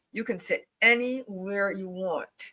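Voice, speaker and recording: A female-sounding voice does a put-on character voice at medium pitch. The pace is fairly slow. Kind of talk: monotone. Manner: tense, clipped.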